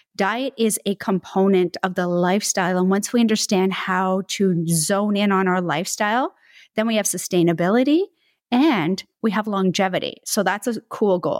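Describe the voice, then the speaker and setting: In a plain, everyday voice, a woman speaks at a medium pitch and moderate pace with ordinary pitch variation and very even loudness, recorded very cleanly against a silent background with a dry, close sound and no echo. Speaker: podcast co-host, holistic nutritionist. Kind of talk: casual chat, co-hosted podcast.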